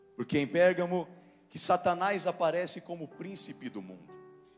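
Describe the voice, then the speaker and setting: Faint music can be heard behind the voice. The speaker is male. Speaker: preacher. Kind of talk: sermon. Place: church. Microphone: handheld.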